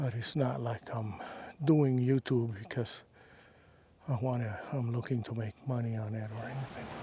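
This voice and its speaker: Soft-spoken and somewhat breathy, a man speaks at a fairly slow pace with a medium pitch and a dark, mellow tone. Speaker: hiking vlogger. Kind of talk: casual vlog monologue while hiking. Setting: outdoors on a desert trail. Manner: quiet, unhurried with fillers.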